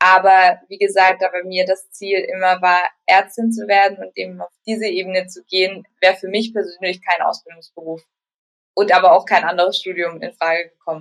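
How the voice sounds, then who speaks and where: With monotone, flat intonation and big swings in loudness, a woman speaks at a moderate pace and a medium pitch. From Germany, Baden-Württemberg. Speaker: resident doctor. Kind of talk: interview.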